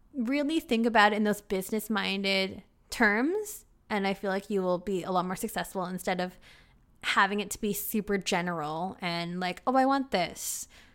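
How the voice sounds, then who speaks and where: In a very clean recording with a silent background, a woman with an unremarkable speaking voice talks at a medium pitch and moderate pace with ordinary pitch variation. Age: 30s. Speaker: podcast host. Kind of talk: casual monologue, Q&A. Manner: laughs often.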